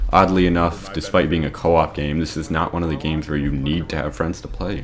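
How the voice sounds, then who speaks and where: Noticeable background noise sits behind a man's voice. His pitch is very deep and low, and his intonation is fairly even. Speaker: gaming YouTuber. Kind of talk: video review monologue; casual outro.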